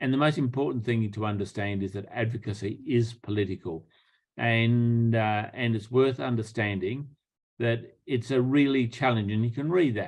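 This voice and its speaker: This man has a medium pitch that varies in an ordinary way. He talks at a moderate pace. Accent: Australian. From Australia. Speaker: public health professor. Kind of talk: lecture.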